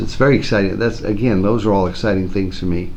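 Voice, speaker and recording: Fairly low in pitch, a man talks with ordinary pitch variation. Noticeable background noise and audible room echo surround him. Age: 60s. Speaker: school principal. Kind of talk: interview.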